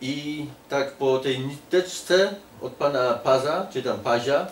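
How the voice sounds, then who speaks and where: A man with fairly high pitch speaks with a Polish accent. Room echo is audible, along with light background noise. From Poland. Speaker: political activist. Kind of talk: casual interview. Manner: halting. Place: home room.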